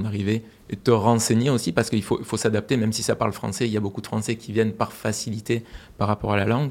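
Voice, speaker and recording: Very fast pace in a monotone, flat intonation. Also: man. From France. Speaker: aerospace project director. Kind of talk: interview.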